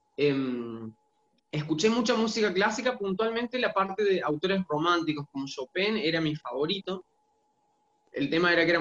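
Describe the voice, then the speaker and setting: The speech moves at a fairly quick pace with lively intonation. The sound is dry and close, with no echo. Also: man. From Argentina, Santiago del Estero. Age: 30s. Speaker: singer-songwriter and music teacher. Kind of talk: interview.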